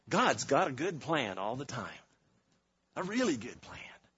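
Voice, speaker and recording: A man talks at a fairly slow pace with a fairly high pitch and very wide pitch swings. Room echo is audible. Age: 50s. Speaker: guest preacher. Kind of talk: sermon. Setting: church. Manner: animated.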